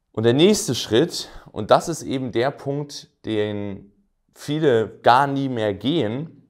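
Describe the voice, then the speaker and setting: Against a quiet background, a man with a medium-pitched voice talks very slowly, his intonation lively. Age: 20s. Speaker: entrepreneur and business coach; business coach. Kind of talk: direct-to-camera explainer video; lecture. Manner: casual with frequent fillers.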